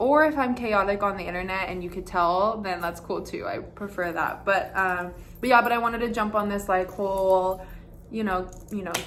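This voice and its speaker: The room carries an audible echo. A woman talks at a moderate pace, her pitch medium. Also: ordinary pitch variation. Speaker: dance teacher and content creator. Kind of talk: casual vlog monologue. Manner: loud; animated.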